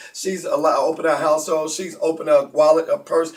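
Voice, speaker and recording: The speech is very fast and animated. Noticeable background noise runs underneath. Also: man. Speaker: conference call host. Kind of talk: live broadcast hosting.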